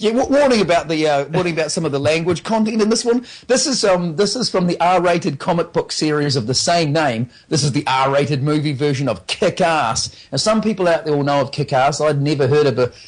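Speaking fast with hardly any pauses, a man with an unremarkable speaking voice keeps his loudness very even, his fairly high pitch moving in lively intonation at a fairly quick pace. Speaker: radio movie trailer reviewer. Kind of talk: radio film review segment. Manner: casual, chatty.

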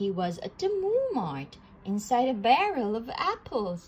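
A woman speaks at a fairly slow pace. Her pitch swings widely.

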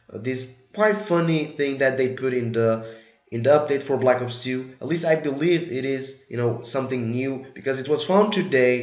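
A man's medium-pitched voice at a moderate pace, ordinary pitch variation, with audible room echo and noticeable background noise. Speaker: gaming youtuber. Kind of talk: tutorial. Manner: casual, filler-heavy.

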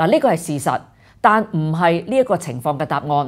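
A woman's voice swings very widely in pitch against a quiet background. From Hong Kong. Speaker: political commentary host. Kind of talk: scripted news commentary. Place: studio.

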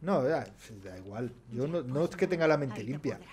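A man talks with vocal fry at a fairly high pitch. Noticeable background noise runs underneath. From Spain. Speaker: gaming streamer. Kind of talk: casual gameplay commentary. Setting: livestream. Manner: animated, laughing often. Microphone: studio mic.

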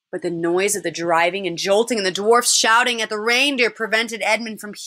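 Unforced reading, with ordinary movement in pitch

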